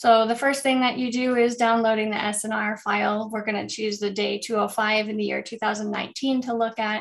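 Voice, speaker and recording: At a moderate pace, a woman speaks with a fairly high pitch in a flat monotone. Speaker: course instructor. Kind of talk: tutorial. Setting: video call. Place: home room. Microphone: webcam.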